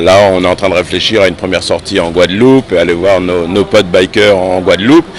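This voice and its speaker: A man's voice with noticeable background noise. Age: 60s. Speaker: motorcycle club secretary. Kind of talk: interview. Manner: hesitant, many fillers.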